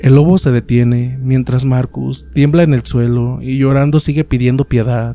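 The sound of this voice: The reading voice is unforced, and its intonation stays fairly even.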